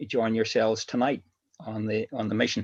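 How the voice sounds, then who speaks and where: Against a quiet background, a man talks at a medium pitch in a Northern Irish accent. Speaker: former paramilitary giving testimony. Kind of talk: testimony interview. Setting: livestream.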